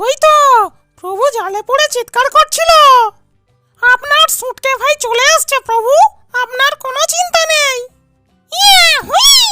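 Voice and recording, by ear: This is a squeaky, cartoonish character voice. It moves at a moderate pace.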